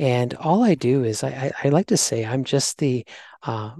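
A man with a Canadian accent has an unremarkable speaking voice at medium pitch and ordinary pitch variation. The sound is dry and close with no echo, over a quiet background. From Canada. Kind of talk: casual interview.

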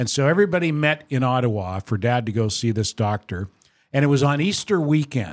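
In a very clean recording with a silent background and a dry, close sound free of echo, a man talks at a fairly quick pace. He has an unremarkable speaking voice, a medium pitch and lively intonation. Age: 60s. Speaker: podcast host. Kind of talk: casual chat. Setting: studio.

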